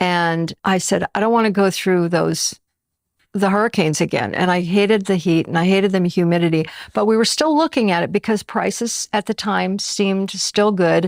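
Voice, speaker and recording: At a moderate pace and medium pitch, a woman with an unremarkable speaking voice talks with ordinary pitch variation and very even loudness, in a very clean recording with a silent background and a dry, close sound with no echo. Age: 60s. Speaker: retiree. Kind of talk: interview.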